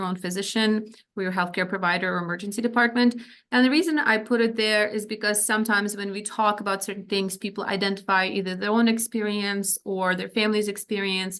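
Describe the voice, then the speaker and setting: Her speech moves very fast. This woman keeps her intonation fairly even. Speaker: psychiatrist or physician presenting on ADHD. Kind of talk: lecture.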